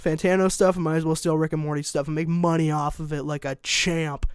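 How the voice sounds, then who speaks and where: On a very clean recording with a silent background, a man speaks in a fairly high pitch with monotone, flat intonation. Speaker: youtuber, music reviewer. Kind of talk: casual vlog monologue. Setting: home, bedroom.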